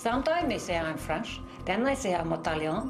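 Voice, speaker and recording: Noticeable background noise runs through the clip. The room echo is audible. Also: woman. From England. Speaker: patient with foreign accent syndrome. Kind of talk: documentary interview.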